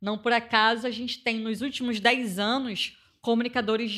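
A woman with a Carioca accent talks at a high pitch and a moderate pace. Her tone is bright and sharp, and the recording is very clean with a silent background. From Rio de Janeiro, Complexo da Maré favela. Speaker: community communicator and activist. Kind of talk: interview.

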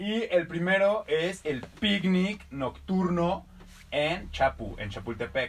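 A man speaks at a very slow pace in a high voice. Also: ordinary pitch variation. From Mexico, Irapuato. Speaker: podcast co-host. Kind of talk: casual comedic chat. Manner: animated.

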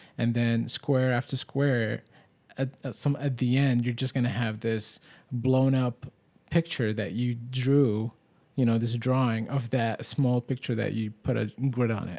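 A man's medium-pitched, monotone voice with flat intonation at a fairly slow pace, in a very clean recording with a silent background. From Middle East. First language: Arabic. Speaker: podcast host. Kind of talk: casual chat.

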